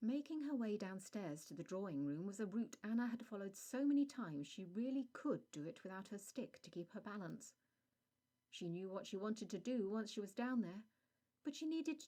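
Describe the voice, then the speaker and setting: Fairly high in pitch, a woman speaks at a fairly quick pace with very wide pitch swings. Her tone is dark and mellow. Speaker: author reading her own story. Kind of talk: audiobook narration of a vampire short story.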